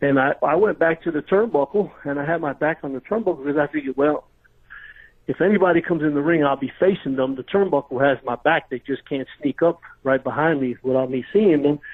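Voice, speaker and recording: Pitch moves in an ordinary way. The delivery is very fast. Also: man, fairly high pitch for a man. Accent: New York. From New York, Brooklyn. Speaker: retired pro wrestler. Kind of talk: interview storytelling. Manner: animated, casual.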